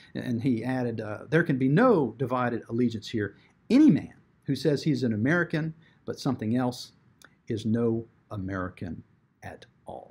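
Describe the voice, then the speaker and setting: Speaking at a moderate pace, a man has a medium pitch and ordinary pitch variation. His voice is somewhat breathy, with big swings in loudness. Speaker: advocacy group commentator. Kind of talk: video commentary on a bill, with clips.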